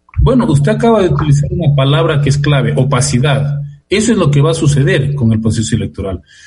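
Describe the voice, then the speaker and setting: A man talks at a very fast pace in a fairly high pitch with lively intonation. Music plays in the background. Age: 60s. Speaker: sociologist and political analyst. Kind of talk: radio interview. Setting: remote call from home.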